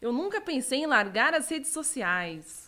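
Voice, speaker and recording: Bright and sharp in tone, a woman's high-pitched voice swings very widely in pitch. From Rio Grande do Sul, Brazil (Osório). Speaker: gamer and streamer. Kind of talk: casual chat. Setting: live stream.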